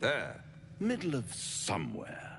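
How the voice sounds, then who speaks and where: A man puts on a character voice. Clear background noise runs underneath. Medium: video game. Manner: silky, theatrical, mocking.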